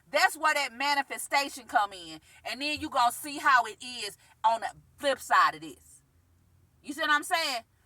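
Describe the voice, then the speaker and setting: A woman talks in a raised, projected voice at a high pitch, her tone bright, sharp and animated. Her intonation is lively, her pace moderate, and her loudness swings widely. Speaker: spiritual self-help vlogger. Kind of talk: vlog monologue.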